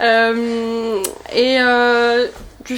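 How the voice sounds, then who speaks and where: There is noticeable background noise as a woman speaks in a high pitch. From Brittany, pays de Dol. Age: 20s. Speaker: author and political activist. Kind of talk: interview. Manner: hesitant, many fillers.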